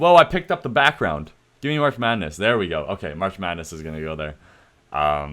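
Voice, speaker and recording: A man with a Canadian accent talks at a fairly quick pace in a very deep, low pitch. His voice makes very wide pitch swings and big swings in loudness. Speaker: streamer / YouTuber. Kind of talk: casual commentary on livestream. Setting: livestream with chat. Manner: casual, filler-heavy.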